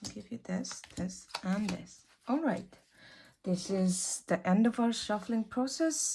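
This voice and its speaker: A soft-spoken woman at medium pitch talks at a very slow pace in a dark, mellow, somewhat breathy tone with lively intonation. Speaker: tarot reader. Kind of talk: tarot reading.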